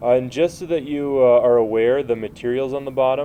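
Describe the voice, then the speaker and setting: A man's medium-pitched voice at a moderate pace, with light background noise. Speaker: chemistry teacher. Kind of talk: tutorial. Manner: halting, many filler uhs.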